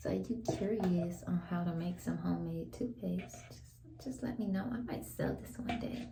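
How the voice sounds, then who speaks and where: Audible room echo and noticeable background noise. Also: woman, moderate pace. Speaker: vlogger. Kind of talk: casual chat. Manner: soft-spoken.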